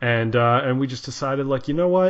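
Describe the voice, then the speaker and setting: A man speaks at a moderate pace with ordinary pitch variation, using an ordinary speaking voice. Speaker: podcast host, musician. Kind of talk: podcast interview talk.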